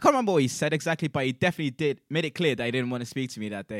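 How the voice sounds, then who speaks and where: In a very clean recording with a silent background and a dry, close sound with no echo, a man speaks with lively intonation. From South Africa. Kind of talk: casual chat, storytelling. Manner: casual, many fillers and restarts.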